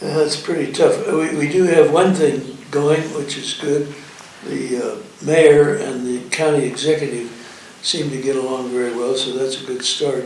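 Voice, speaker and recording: Over noticeable background noise and with audible room echo, a man speaks at a fairly high pitch and fairly slow pace with fairly even intonation. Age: 90s. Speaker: retired attorney. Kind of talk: interview. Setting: private club. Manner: halting.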